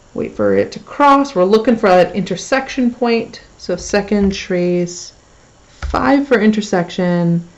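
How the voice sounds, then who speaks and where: Over noticeable background noise, a woman speaks at a fairly slow pace with a medium pitch and lively intonation. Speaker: math teacher. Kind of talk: tutorial. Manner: casual.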